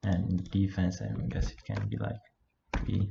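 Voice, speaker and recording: A man speaks with a non-native accent. His pitch is fairly low. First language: not English. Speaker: game level designer, video creator. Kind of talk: tutorial with live coding commentary. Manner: halting, hesitant; flat, low energy.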